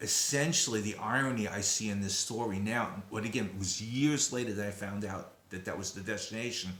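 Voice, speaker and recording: Over noticeable background noise and audible room echo, a man with a Brooklyn accent talks at a fairly quick pace in a fairly low voice, with fairly even intonation and hardly any pauses. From Brooklyn, New York, then Long Island. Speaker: descendant of a disaster figure, sharing memories. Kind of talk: personal testimony. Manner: hesitant, many fillers.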